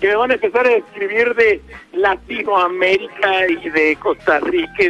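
Over music in the background, a man uses a raised, projected voice with ordinary pitch variation. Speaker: radio host. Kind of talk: live radio show.

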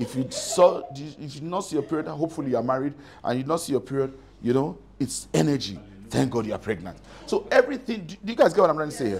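Over light background noise, a man talks at a very fast pace with vocal fry and very wide pitch swings. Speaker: preacher. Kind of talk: sermon. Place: church. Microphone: lapel.

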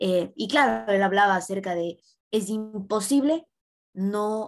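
Very slow delivery against a quiet background. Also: woman. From Ecuador. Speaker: student interviewer. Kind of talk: interview. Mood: warm, appreciative. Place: home room. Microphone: webcam.

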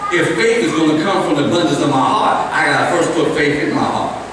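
Strong room echo and noticeable background noise accompany a man speaking at a fairly quick pace with ordinary pitch variation. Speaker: pastor. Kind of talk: sermon. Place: church.

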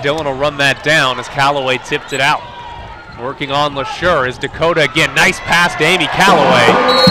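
Loud background noise surrounds a man speaking at a fairly quick pace. His pitch is fairly high, and the sound is dry with no echo. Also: ordinary pitch variation. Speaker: basketball play-by-play announcer; women's college basketball announcer. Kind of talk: live sports play-by-play commentary.

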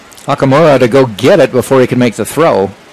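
Noticeable noise sits behind a man who keeps a moderate pace. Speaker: play-by-play announcer. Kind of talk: live sports play-by-play commentary. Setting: broadcast booth at a college baseball game. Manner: brisk, fluent, descriptive pitch-by-pitch calls.

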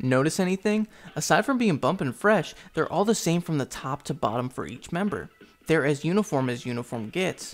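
Music plays in the background as a man talks at a fairly quick pace. His fairly high voice swings very widely in pitch. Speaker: anime commentary youtuber. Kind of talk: video essay narration.

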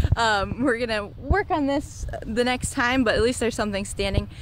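Noticeable background noise surrounds a woman whose voice has a dry sound with no echo. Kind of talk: casual vlog update. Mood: cheerful, occasional laughs. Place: garden. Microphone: phone near.

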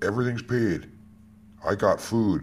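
Speaking at a moderate pace, a man with an American accent shows vocal fry. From United States. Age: 50s. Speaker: security guard and odd-job worker. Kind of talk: personal testimony monologue. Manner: emphatic, repetitive. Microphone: phone near.

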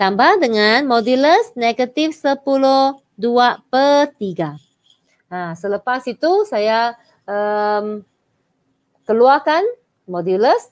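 A woman's high-pitched voice at a very slow pace. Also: lively intonation. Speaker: maths teacher. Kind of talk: online live lesson. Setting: live stream.

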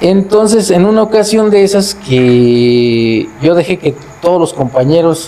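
A man is speaking. His pitch is high. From Mexico, Cuitzeo, Michoacán; Michoacán, Mexico. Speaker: festival committee president; storyteller guest or host. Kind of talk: storytelling; casual chat. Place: home room. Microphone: lapel.

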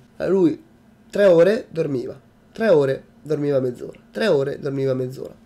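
Pausing long and often, a man talks in a dark, mellow tone at a fairly high pitch. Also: lively intonation, moderate pace. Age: 20s. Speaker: YouTuber. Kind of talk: vlog monologue. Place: home room. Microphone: webcam.

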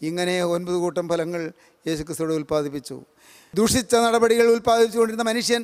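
Male speech with lively intonation over a quiet background. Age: 70s. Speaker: preacher. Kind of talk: sermon. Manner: repetitive, emphatic. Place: hall. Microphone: podium.

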